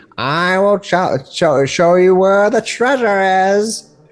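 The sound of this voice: In a put-on character voice at middle pitch, the speaker moves at a fairly slow pace.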